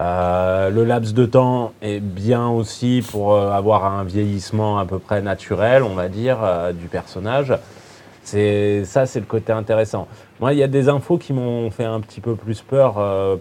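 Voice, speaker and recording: The man's voice sits fairly low. He speaks at a very slow pace. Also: ordinary pitch variation. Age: 30s. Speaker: film fan guest. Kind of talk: casual panel discussion. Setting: filmed panel in a cinema.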